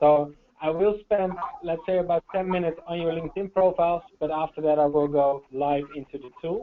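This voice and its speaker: The speaker talks at a fairly quick pace with a Dutch accent. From Netherlands. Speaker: sales trainer. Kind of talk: webinar training presentation. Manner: hesitant, many fillers.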